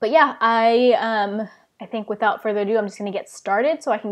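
Fairly quick speech from a woman with ordinary pitch variation against a quiet background. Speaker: book vlogger. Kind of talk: casual live stream chat. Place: home room. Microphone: earbuds.

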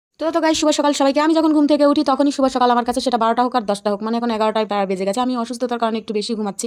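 A woman talks with a high pitch and ordinary pitch variation. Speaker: lifestyle and cooking vlogger. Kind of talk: casual vlog narration.

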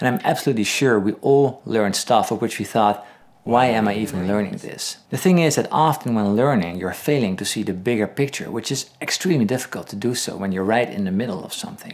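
A man talks at a very fast pace. He leaves hardly any pauses. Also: lively intonation. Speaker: guitar teacher. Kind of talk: tutorial. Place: home room.

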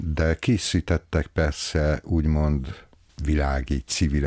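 Against a quiet background, a man's very deep, low voice comes through with a dry sound and no echo. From Hungary, Veszprém; Hungary. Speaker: library director. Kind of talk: interview. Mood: calm, friendly. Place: office. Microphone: studio mic.

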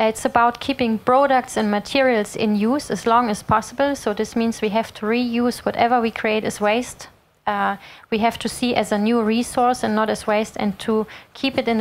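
With very even loudness and fairly even intonation, a woman talks at a moderate pace in a fairly high voice. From Germany. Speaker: sustainability consultant; speaker. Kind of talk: lecture. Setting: stage with audience. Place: hall. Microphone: handheld.

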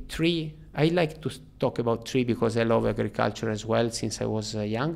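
A man with an Italian accent. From Italy, Turin; Italy. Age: 40s. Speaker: freediver; podcast guest. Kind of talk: interview. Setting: in person. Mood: calm, reflective. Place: studio. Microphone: studio mic.

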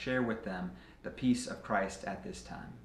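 A man speaks at a moderate pace with a medium pitch. Audible room echo and light background noise surround him. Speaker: pastor. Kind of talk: fervent communal prayer of confession, liturgical and solemn. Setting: church. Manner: measured, reverent cadence with earnest pleading tone; formal liturgical phrasing, occasional small repetitions. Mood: solemn, calm. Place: office.

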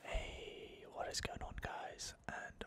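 Whispering at a very slow pace. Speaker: gaming ASMR creator. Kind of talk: gameplay commentary. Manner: whispered.

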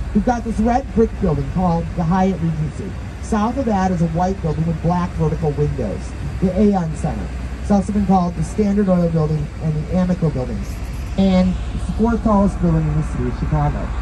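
Noticeable background noise accompanies speech delivered at a fairly quick speed. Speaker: tour guide. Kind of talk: guided tour commentary with jokes. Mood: playful, punning. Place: boat.

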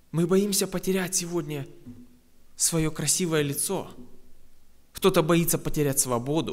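A high-pitched man's voice at a fairly slow pace, fairly even in intonation, broken by long, frequent pauses, over a quiet background. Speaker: preacher. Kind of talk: sermon. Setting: church. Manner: earnest, exhorting, conversational. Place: church. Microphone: podium.

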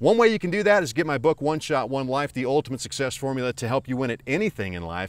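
A man with an American accent, very wide pitch swings, and a dry sound with no echo. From US rural. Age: 50s. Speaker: motivational speaker and author. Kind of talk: motivational vlog. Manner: warm, earnest. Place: waterside. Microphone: phone near.

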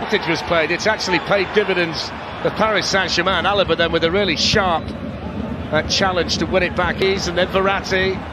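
Over noticeable background noise, a man with a high voice talks in an animated tone, with very even loudness and hardly any pauses. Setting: broadcast commentary over match footage. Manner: animated, rapid play-by-play delivery.

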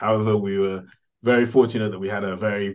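Speaking at a fairly quick pace, a man with a fairly low pitch keeps his intonation fairly even. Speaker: podcast guest. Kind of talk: interview answer. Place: home room. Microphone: video call.

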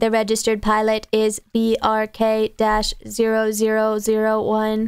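A woman puts on a robotic character voice pitched fairly high. Music plays in the background. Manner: emotionless, formal.

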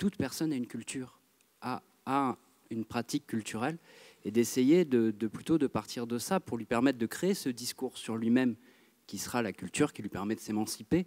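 With a dark, mellow tone, this man talks at a moderate speed, his pitch varying in an ordinary way against a quiet backdrop. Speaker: theatre director. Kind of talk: audience question at a public debate. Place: hall.

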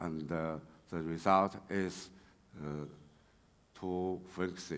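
Speaking in a Chinese accent, a man keeps a very slow pace. His intonation is fairly even. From China. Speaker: railway engineering researcher; conference presenter. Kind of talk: conference talk. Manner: halting, many fillers. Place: hall. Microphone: podium.

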